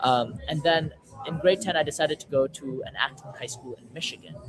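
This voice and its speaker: Crowd noise fills the background. A man talks at a fairly quick pace. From western Canada. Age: 18. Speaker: startup founder. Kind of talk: casual talk on a webinar. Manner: halting, many fillers and repeats.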